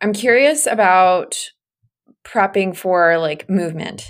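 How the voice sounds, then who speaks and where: A woman with a normal speaking voice talks at a moderate pace with medium pitch and ordinary pitch variation. The recording is very clean, with a silent background. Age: 20s. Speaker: podcast host, fertility nutritionist. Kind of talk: casual interview.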